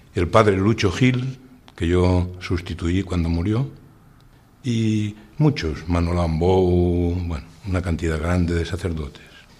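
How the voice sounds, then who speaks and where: The voice is somewhat breathy and moves at a very slow pace. Its pitch varies in an ordinary way. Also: man, very deep, low pitch for a man. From Spain, Valencia region (Utiel). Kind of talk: radio interview testimony.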